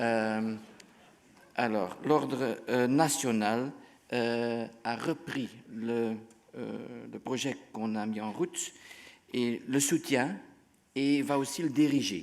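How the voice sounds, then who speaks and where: A man with a Dutch accent speaks at a very slow pace, with long, frequent pauses, medium pitch, ordinary pitch variation and audible room echo. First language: Dutch (speaking French). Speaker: physician. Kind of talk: conference talk. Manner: halting.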